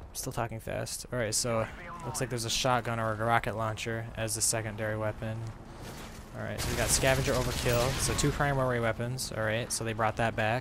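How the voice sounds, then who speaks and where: A man with a medium pitch talks fairly quickly while noticeable background noise carries on. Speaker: gaming YouTuber. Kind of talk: live gameplay commentary. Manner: fast; animated.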